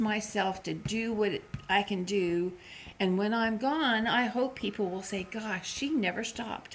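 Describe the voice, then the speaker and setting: At a fairly slow pace, a woman talks in a fairly high, somewhat breathy voice, her pitch varying in an ordinary way. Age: 60s. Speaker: vlogger. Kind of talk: casual chat.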